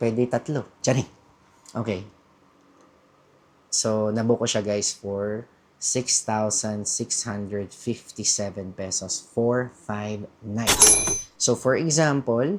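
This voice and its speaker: A man at a medium pitch, very slow pace and fairly even intonation. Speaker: travel vlogger. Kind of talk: casual vlog talk. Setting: hostel room. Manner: talkative; chatty, self-correcting.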